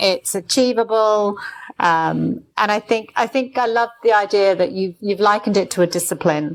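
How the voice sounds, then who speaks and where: Keeping her loudness very even, a woman with an ordinary speaking voice talks at a moderate pace with lively intonation. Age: 60s. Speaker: former business association CEO and marathon runner. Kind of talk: casual interview chat.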